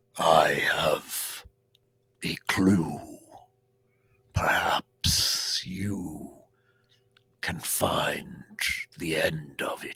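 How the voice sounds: In a put-on character voice, a man booms out raspy words at a very slow pace.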